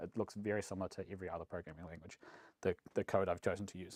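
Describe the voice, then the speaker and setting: Recorded very cleanly with a silent background, a man with a New Zealand accent sounds dry and close with no echo. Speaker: software engineering manager. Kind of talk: conference talk. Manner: fast; mumbly.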